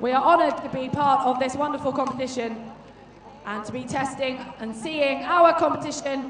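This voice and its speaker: Surrounded by audible room echo and noticeable background noise, a woman speaks at a high pitch. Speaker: sports commentator. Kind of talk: live commentary.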